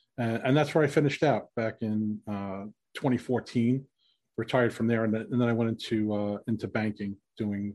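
Against a quiet background, a man with a New York accent talks at a fairly quick pace. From New York City. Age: 50s. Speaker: former police officer. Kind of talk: casual interview.

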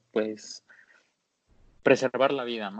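A man talks with fairly even intonation, his pitch landing in the medium range. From Mexico, Jalisco (Guadalajara). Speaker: off-road Jeep enthusiast. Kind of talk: casual interview. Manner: hesitant, many fillers.

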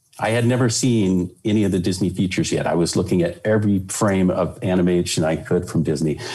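Over noticeable background noise, a man with an American accent talks at a very fast pace with hardly any pauses, his pitch very deep and low, his pitch variation ordinary and his loudness very even. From California. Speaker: Disney animator and attractions director. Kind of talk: interview. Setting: video call.

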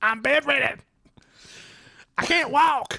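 A high-pitched, put-on character voice

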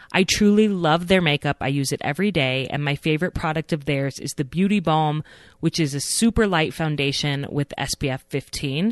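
Over a quiet background, a woman talks at a moderate pace with a very deep, low pitch and ordinary pitch variation, the sound dry and close with no echo. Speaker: podcast host. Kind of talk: scripted intro and casual interview.

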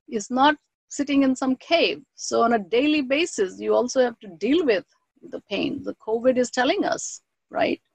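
With a Bengali accent, a woman talks at a moderate pace in a high pitch, recorded dry and close with no echo. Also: lively intonation, big swings in loudness. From India (Bengal). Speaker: professor and author. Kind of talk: interview.

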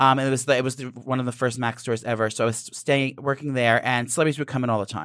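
Talking at a very fast pace with hardly any pauses, a man with an American accent keeps a medium pitch and fairly even intonation. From New Jersey, near New York City. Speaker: celebrity makeup artist and reality TV personality. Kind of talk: casual chat.

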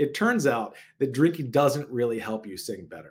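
A plain, everyday voice moves at a fairly quick pace with ordinary pitch variation in a very clean recording with a silent background. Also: man. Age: 40s. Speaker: podcast host and wellness coach. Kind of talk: solo podcast talk.

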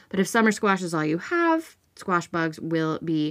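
Recorded very cleanly against a silent background, a plain, everyday voice moves at a fairly slow pace with ordinary pitch variation. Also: woman. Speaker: podcast host. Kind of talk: solo podcast episode, informative talk.

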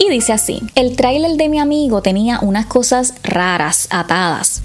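A woman speaks at a fairly slow pace with lively intonation and a dramatic tone. Noticeable background noise sits behind her. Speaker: podcast host telling mystery stories. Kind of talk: ghost story telling, spooky first-person tale read aloud. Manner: hushed, suspenseful, halting with hesitations and pauses; intimate, dramatic, building dread.

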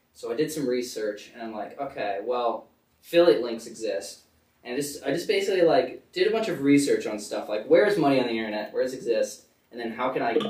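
The speaker talks at a very fast pace in an American accent, with lively intonation. Audible room echo fills the recording. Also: man, fairly high pitch for a man. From Connecticut. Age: young. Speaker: college student and startup founder. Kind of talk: casual interview.

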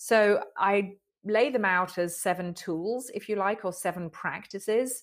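Recorded very cleanly with a silent background, a woman with an English accent speaks at a very slow pace in a medium pitch with ordinary pitch variation. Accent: English, noticeable as soon as she speaks. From England. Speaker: author and inspirational speaker. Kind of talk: interview.

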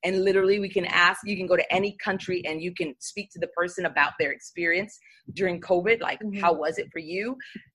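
Talking very fast in an American accent, a woman uses a medium-pitched, bright, sharp voice with fairly even intonation. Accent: New York accent, stronger when passionate. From New York City. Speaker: church leader and seminary student. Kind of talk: casual interview chat.

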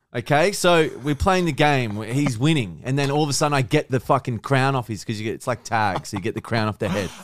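A man speaks with an Australian accent and a medium pitch. His intonation is lively, with hardly any pauses. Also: fairly quick pace. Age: 30s. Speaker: content creator. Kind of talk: casual chat.

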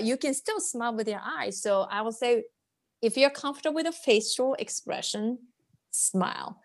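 Heard over a quiet background, the speaker has a Japanese accent and ordinary pitch variation. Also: woman. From rural Japan, Ishinomaki in Miyagi. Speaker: cross-cultural business liaison. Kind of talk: interview.

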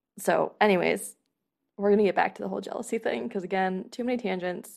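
A woman with a medium pitch and vocal fry speaks in an animated tone at a fairly quick pace, with ordinary pitch variation. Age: 20s. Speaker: podcast host and human design coach. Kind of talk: casual solo podcast monologue. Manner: animated, laughs often.

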